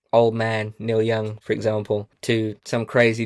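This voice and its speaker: Recorded very cleanly against a silent background, a man with an English accent speaks at a medium pitch in a dry, close sound with no echo. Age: 20s. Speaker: country musician. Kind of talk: casual chat.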